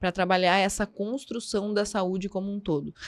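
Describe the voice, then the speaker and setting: In a very clean recording with a silent background, a voice with a strong southern Brazilian accent speaks at a moderate pace. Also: woman. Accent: southern Brazilian border accent, strong. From southern Brazil, border region. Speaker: psychologist. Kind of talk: podcast interview. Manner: halting.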